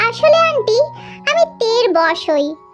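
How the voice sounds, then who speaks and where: A squeaky, put-on character voice from a woman, with clear music in the background. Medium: read story.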